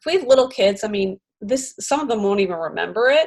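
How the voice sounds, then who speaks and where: A woman with a Philadelphia accent speaks at a fairly high pitch. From US Northeast, Philadelphia suburbs. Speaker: podcast host and comedian. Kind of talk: casual interview chat.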